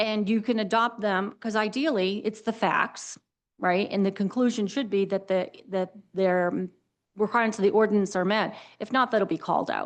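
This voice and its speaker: A woman at medium pitch, moderate pace and fairly even intonation, over a quiet background. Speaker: town planner advising planning board. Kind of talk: public board meeting discussion. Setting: town planning board meeting. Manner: informal, conversational.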